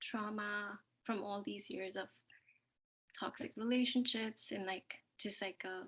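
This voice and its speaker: A bright, sharp tone carries fairly even intonation at a fairly slow pace. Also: woman. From Ontario, Canada. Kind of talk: sharing circle introduction. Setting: video call from work.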